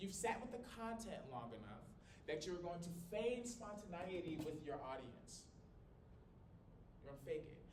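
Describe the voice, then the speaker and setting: A man speaks loudly in a high, animated voice with very wide pitch swings. Long, frequent pauses break up his speech amid audible room echo. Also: moderate pace. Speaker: college communication instructor. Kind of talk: lecture. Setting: small classroom, no microphone. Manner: loud, projecting.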